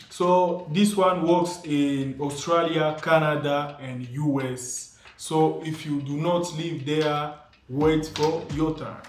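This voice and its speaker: Speaking very slowly, a man uses a fairly high pitch and fairly even intonation. Audible room echo and noticeable background noise fill the recording. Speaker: YouTuber giving money-making tips. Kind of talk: casual video monologue.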